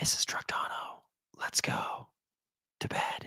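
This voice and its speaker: A put-on character voice whispers in a raspy tone. The pace is fairly slow. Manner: whispering.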